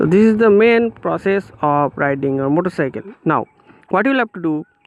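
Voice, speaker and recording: In a Bengali accent, a man talks at a fairly quick pace with a high pitch and lively intonation. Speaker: motorcycle vlogger. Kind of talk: tutorial. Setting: outdoors.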